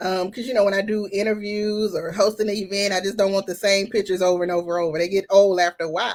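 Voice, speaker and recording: A woman with a Southern US accent rattles along at a very fast pace with hardly any pauses, in a monotone, flat intonation. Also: medium pitch for a woman. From Louisiana, US South (Baton Rouge). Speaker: plus-size model and event host. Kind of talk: casual interview.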